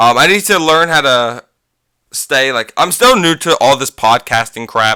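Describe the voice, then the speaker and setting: A man speaks loudly at a fairly slow pace. His intonation is lively. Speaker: gaming youtuber and podcaster. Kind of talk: casual podcast monologue. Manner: halting, many fillers. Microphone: too close to microphone.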